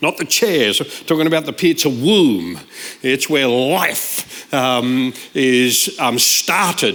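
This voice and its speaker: A man speaks with a slight Australian accent. His intonation is lively. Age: 60s. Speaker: guest preacher. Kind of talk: sermon. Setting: church service.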